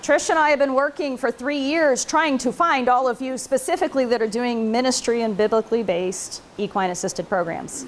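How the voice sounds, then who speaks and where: The woman's voice is high-pitched and her intonation lively, with noticeable background noise in the recording. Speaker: researcher and conference presenter. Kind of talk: conference talk. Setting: conference room with audience, recorded on video. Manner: casual, conversational; loud.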